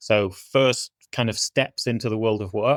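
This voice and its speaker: A man with a northwest English accent and fairly even intonation, on a very clean recording with a silent background and a dry, close sound with no echo. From northwest England. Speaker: business executive. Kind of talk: podcast interview.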